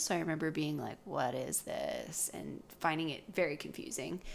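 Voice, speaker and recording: A woman's voice with vocal fry and a Western Canadian accent, fairly slow, with ordinary pitch variation. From British Columbia, Canada. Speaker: podcast co-host, speech language pathologist. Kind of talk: casual chat.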